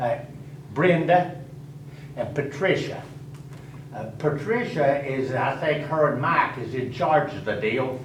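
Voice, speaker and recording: A man with a fairly high pitch speaks at a fairly slow pace, with ordinary pitch variation and long, frequent pauses. Noticeable background noise and audible room echo fill the recording. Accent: Tennessee. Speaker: resident addressing county commission. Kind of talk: public comment at meeting. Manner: loud.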